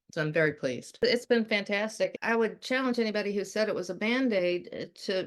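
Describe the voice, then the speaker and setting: A woman with a fairly high pitch talks at a moderate pace in an ordinary speaking voice against a quiet background. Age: 60s. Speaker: horse owner giving a testimonial. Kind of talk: product testimonial.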